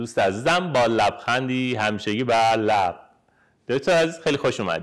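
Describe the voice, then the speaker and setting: A man speaks in a plain, everyday voice with lively intonation at a moderate pace. The background is quiet. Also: medium pitch for a man. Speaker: periodontist. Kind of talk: podcast interview host. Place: home room.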